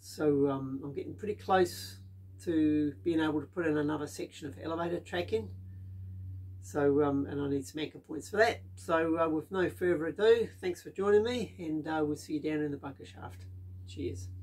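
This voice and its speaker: A man speaks at a moderate pace. His voice is somewhat breathy. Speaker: DIY builder vlogger. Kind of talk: casual vlog chat. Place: workshop.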